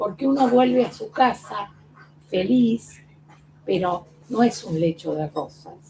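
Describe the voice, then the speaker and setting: Very slowly, a woman speaks at a fairly high pitch with lively intonation and a dark, mellow tone. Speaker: former patient. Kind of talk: testimony.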